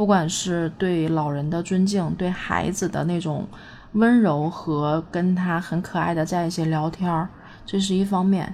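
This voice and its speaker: A woman's fairly low voice, a normal speaking voice, with fairly even intonation and a fairly slow pace. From Northeast China. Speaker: vlogger. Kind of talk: casual monologue.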